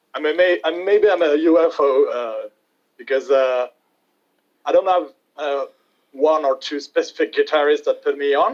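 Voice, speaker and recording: A man with a French accent speaks at a moderate pace. He leaves long, frequent pauses. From France. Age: 20s. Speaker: metal guitarist. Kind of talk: interview. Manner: halting.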